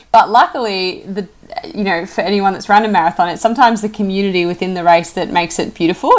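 A woman speaks with an Australian accent at a fairly quick pace. Her medium pitch shows ordinary variation. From rural Australia. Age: 30s. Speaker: ultramarathon runner. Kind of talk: interview.

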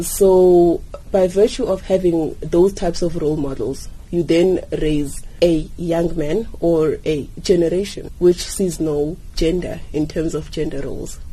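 At a fairly slow pace, a woman speaks with a fairly low pitch and fairly even intonation over noticeable background noise. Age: 30s. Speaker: neurosurgeon. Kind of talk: radio interview.

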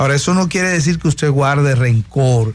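Speaking fairly quickly, a man with an unremarkable speaking voice talks at a fairly high pitch. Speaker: pastor and radio co-host. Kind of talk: casual chat.

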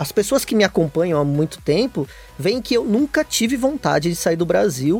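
With music in the background, a man speaks at a moderate pace in a high pitch that swings very widely, his loudness very even. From São Paulo city, east zone. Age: 30s. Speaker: YouTuber. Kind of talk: casual interview.

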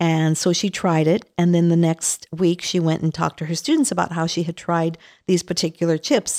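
With an American accent, a woman speaks at a moderate pace in a fairly low pitch and a dark, mellow tone, in a very clean, dry, close recording with a silent background and no echo. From US West Coast, East Los Angeles. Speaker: education professor. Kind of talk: interview.

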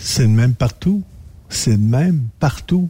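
A man talks at a very slow pace in a dark, mellow, somewhat breathy voice with very wide pitch swings. The recording is very clean with a silent background. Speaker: radio columnist, former chef. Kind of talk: casual chat.

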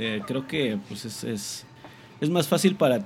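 A plain, everyday voice from a man, medium in pitch, with lively intonation and a fairly slow pace. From Zacatecas, Mexico. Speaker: podcast host, teacher. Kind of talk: casual chat. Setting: café.

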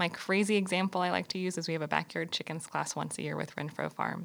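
On a very clean recording with a silent background, a woman with an American accent talks at a fairly quick pace, fairly low in pitch, with vocal fry and ordinary pitch variation. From North Carolina, Greensboro. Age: 30s. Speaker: startup founder and CEO. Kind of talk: interview.

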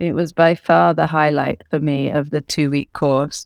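In a British accent, a woman speaks at a moderate pace with fairly even intonation. The sound is dry and close with no echo, on a very clean recording with a silent background. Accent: British English (RP-like). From England. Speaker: choreographer and artistic director. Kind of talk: interview.

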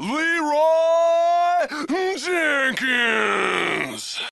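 Someone shouts in a put-on character voice. The pitch is high. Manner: loud shouted battle cry.

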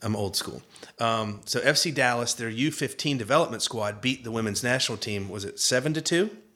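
A man with a Southern US accent talks at a fairly quick pace in a medium pitch, his tone bright and sharp and his pitch varying in an ordinary way. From Georgia. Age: 40s. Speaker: hunting media executive. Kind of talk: casual chat.

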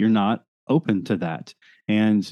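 Against a quiet background, a man speaks in a fairly low pitch with ordinary pitch variation. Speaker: pastor. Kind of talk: casual interview. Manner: loud, fast-paced.

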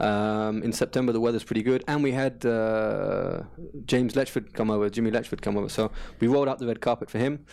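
Speaking at a very fast pace, a man keeps a monotone, flat intonation. His pitch sits in the medium range. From England. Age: 40s. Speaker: gym owner. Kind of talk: casual interview.

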